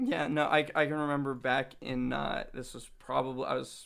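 The recording is very clean with a silent background, carrying a man's fairly high voice. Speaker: junior product manager, interviewee. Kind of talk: interview answers. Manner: hesitant, filler words.

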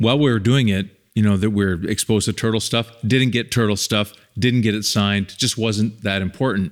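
A man speaks in a plain, everyday voice, fairly low in pitch with ordinary variation and a fairly quick pace. The recording is very clean, with a silent background. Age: 50s. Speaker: documentary filmmaker and podcast host. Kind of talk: casual chat.

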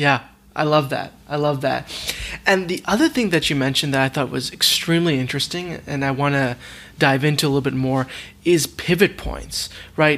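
A man talks at a fairly quick pace in an unremarkable speaking voice. His pitch is fairly high, and his intonation is fairly even. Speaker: podcast host. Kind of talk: interview conversation.

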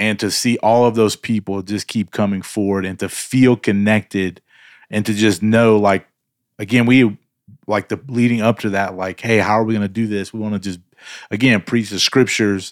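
A man with a fairly low pitch speaks in a monotone, flat way at a moderate pace, dry and close with no echo, on a very clean recording with a silent background. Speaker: co-host. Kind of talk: casual chat. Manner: talkative, likes talking out loud.

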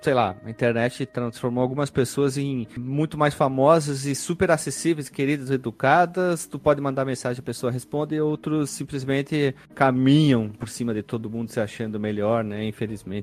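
A man speaks at a moderate pace, with hardly any pauses. His medium pitch moves with ordinary variation. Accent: strong gaúcho. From Rio Grande do Sul, Brazil (Caxias do Sul). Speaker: podcast host. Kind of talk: casual chat.

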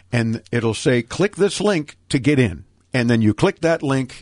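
Against a quiet background, a man speaks at a fairly slow pace with a medium pitch. His pitch swings very widely. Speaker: tech radio host. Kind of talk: radio interview show. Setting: studio.

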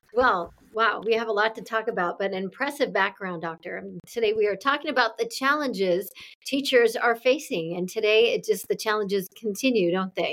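At a fairly quick pace, a woman uses an ordinary speaking voice, fairly high in pitch, with ordinary pitch variation. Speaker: podcast host. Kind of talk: interview, scripted intro.

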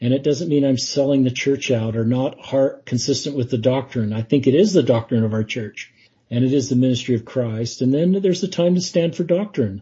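A man with an American accent speaks at a fairly quick pace with hardly any pauses. His medium-pitched voice is somewhat breathy. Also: ordinary pitch variation. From US West, Utah (Salt Lake City). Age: 50s. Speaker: lay church leader. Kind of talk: interview. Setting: podcast.

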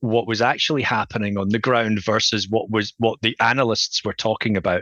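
A man with a Scottish accent at a moderate pace. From Scotland. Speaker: futurist and author. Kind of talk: interview.

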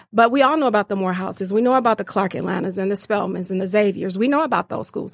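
A woman with an unremarkable speaking voice talks at a fairly high pitch with ordinary pitch variation. The recording is very clean, with a silent background and a dry, close sound with no echo. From Detroit, East Side. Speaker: nonprofit fundraising director. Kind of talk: interview.

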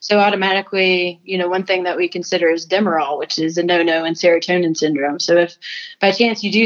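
A woman's medium-pitched voice, fairly quick, with fairly even intonation. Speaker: nurse anesthetist. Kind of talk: casual interview. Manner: slightly mumbling.

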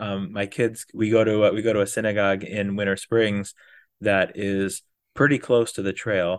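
Recorded with a dry, close sound with no echo, a man with an American accent speaks at a moderate pace. His pitch is fairly low and his intonation fairly even. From Wisconsin. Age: 30s. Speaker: day hiker and physician. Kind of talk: casual interview chat. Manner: halting, many fillers.

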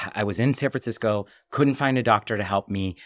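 The man's speech shows ordinary pitch variation, with a dry, close sound and no echo. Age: 40s. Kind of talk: interview conversation. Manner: talkative.

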